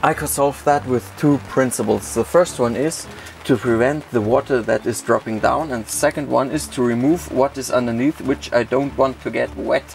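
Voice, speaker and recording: A man speaks at a moderate pace with hardly any pauses. Light background noise can be heard. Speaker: camping vlogger. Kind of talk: casual vlog chat. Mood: cheerful after drinking. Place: tent. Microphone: phone near.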